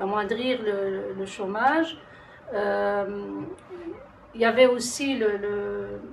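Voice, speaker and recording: Fairly high-pitched and somewhat breathy, a woman with a non-native accent speaks amid audible room echo. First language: not French (speaking French). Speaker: citizen panel participant. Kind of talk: testimony. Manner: halting.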